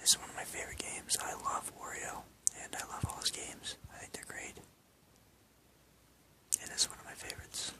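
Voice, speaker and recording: Over noticeable background noise comes whispering broken by long, frequent pauses. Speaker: ASMR creator. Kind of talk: ASMR collection show-and-tell. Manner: whispered.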